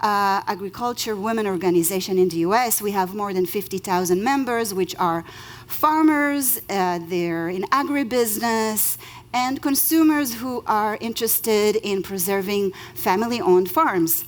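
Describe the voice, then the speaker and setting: With an Israeli accent, a woman speaks at medium pitch and a moderate pace, her intonation lively. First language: Hebrew. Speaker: lawyer. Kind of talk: conference talk.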